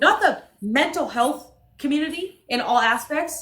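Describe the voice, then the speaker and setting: With audible room echo, a woman's raised, projected voice carries an animated tone that is bright and sharp. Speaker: livestreamer. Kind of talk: heated rant on livestream. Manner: loud.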